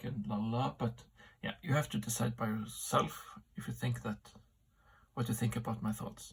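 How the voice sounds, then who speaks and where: Vocal fry in a man's medium-pitched voice, ordinary pitch variation throughout. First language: not English. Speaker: amateur philosopher vlogger. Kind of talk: solo vlog monologue. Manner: halting, many fillers.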